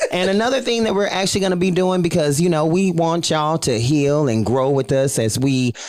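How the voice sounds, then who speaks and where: With noticeable background noise, a man talks at a fairly quick pace with hardly any pauses, lively intonation, a fairly high pitch and very even loudness. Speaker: podcast co-host. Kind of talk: casual chat.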